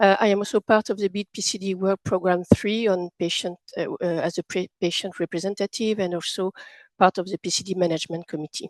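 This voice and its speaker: A woman with a medium pitch speaks fairly quickly and with fairly even intonation, the sound dry and close with no echo and the background quiet. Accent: French. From France. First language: French. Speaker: patient representative and session chair. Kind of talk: formal introduction.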